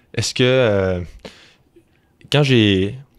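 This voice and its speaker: With a slight Quebec accent, a man speaks at a very slow pace, his medium pitch carried by fairly even intonation. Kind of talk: interview conversation.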